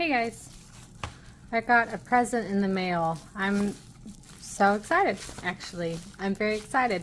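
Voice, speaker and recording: A woman with an American accent, medium in pitch, with ordinary pitch variation, a fairly slow pace and long, frequent pauses. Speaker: art youtuber. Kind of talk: casual unboxing chat. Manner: animated.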